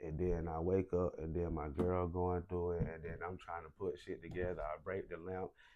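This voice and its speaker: A man speaks at a moderate pace in a very deep, low voice, with hardly any pauses. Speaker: recently released prisoner. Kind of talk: casual chat. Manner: loud; animated.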